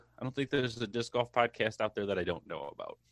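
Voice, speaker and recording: A man with an American accent uses a normal speaking voice. His pitch variation is ordinary, and the background is quiet. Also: dry, close sound with no echo. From Michigan. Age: 20s. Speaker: podcast co-host. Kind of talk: casual chat.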